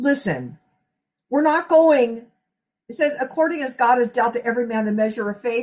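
A woman's high-pitched voice at a moderate pace, with ordinary pitch variation and long, frequent pauses. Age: 50s. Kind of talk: sermon. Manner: conversational.

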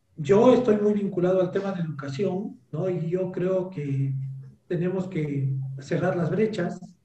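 This man has a high-pitched voice and a fairly slow pace. Room echo can be heard. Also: ordinary pitch variation. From Peru, Cajamarca highlands (Celendín). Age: 40s. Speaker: economist and educator. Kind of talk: interview. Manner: hesitant, frequent fillers.

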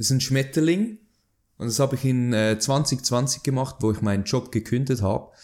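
A man's medium-pitched voice moves at a moderate speed in a very clean recording against a silent background. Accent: Swiss German. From Switzerland. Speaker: artist. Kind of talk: interview conversation.

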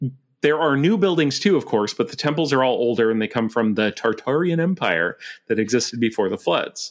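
Fairly quick speech with an American accent, over music in the background. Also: man, medium pitch for a man, lively intonation. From Montana (Billings). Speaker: podcast host, guest. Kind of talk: casual chat.

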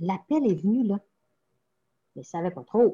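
A woman's somewhat breathy voice, very slow, with lively intonation. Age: 60s. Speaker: parish pastoral worker. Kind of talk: interview. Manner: halting.

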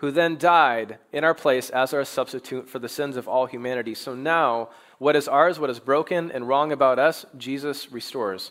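This man has a plain, everyday voice, moving at a moderate pace with ordinary pitch variation. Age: 30s. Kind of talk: sermon.

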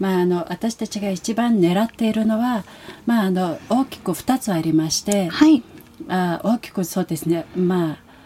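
With a Mongolian accent, a woman speaks at a moderate pace and medium pitch, her pitch varying in an ordinary way. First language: Mongolian (speaking Japanese). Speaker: international exchange program coordinator. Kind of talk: interview.

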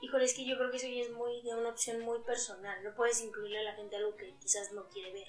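A woman's fairly high voice at a very fast pace, fairly even in intonation, with hardly any pauses and noticeable background noise. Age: 20s. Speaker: physiotherapist and footballer. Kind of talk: casual chat.

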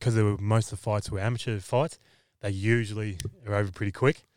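A man with an Australian accent, fairly low in pitch, very fast and fairly even in intonation, on a very clean recording with a silent background. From Victoria, Australia. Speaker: MMA fighter. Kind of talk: casual chat.

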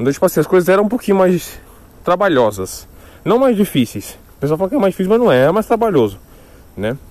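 A man with a high voice races along at a very fast pace, his pitch swinging very widely between long, frequent pauses. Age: 20s. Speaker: podcaster. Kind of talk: solo casual monologue. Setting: walking outdoors.

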